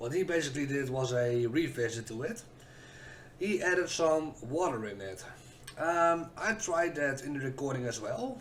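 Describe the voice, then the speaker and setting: There is noticeable background noise as a man talks at a fairly slow pace. His pitch swings very widely. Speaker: whisky reviewer, content creator. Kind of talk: casual review talk to camera. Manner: hesitant, stuttery.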